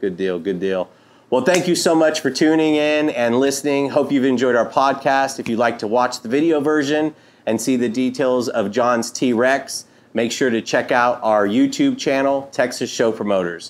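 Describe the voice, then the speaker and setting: A man talks at a moderate pace and medium pitch, with ordinary pitch variation. It is a plain, everyday voice. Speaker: podcast host. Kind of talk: casual interview. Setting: studio.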